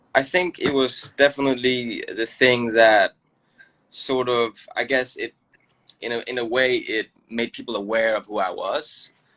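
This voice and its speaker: A man with a Danish accent at a fairly slow pace, in a dry, close sound with no echo. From Denmark. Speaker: choreographer and dancer. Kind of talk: casual interview chat.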